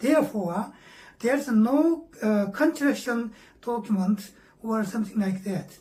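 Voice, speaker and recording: Speaking in a Korean accent, a woman talks at a fairly slow pace with fairly high pitch and lively intonation. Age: 70s. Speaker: meditation teacher. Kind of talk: lecture. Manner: halting, frequent fillers.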